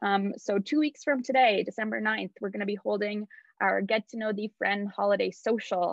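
A woman at medium pitch, fairly even intonation and a moderate pace, in a dry sound with no echo over a quiet background. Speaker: nonprofit events coordinator; meeting host. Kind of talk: online event hosting. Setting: video call. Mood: warm, friendly. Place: home room. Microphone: video call.

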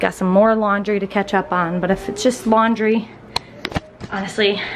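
A woman at a moderate pace, with fairly even intonation and faint background noise

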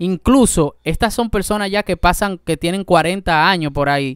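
Fairly slow pace and ordinary pitch variation, with a dry sound with no echo against a quiet background. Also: man. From Dominican Republic. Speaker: YouTube reaction host; reaction video host. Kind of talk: reaction commentary. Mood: indignant, critical. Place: home room. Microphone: studio mic.

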